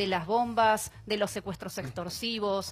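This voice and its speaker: In a very clean recording with a silent background, a woman with an ordinary speaking voice speaks at a fairly slow pace and medium pitch. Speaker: victims' rights activist. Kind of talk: TV panel debate.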